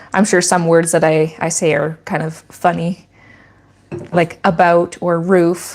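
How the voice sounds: A woman speaks at a fairly slow pace with little pitch movement. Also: fairly low pitch for a woman.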